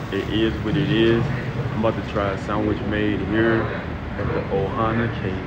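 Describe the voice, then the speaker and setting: Loud background noise behind a man's moderately paced voice. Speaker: travel vlogger. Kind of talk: casual vlog chat. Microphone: phone near.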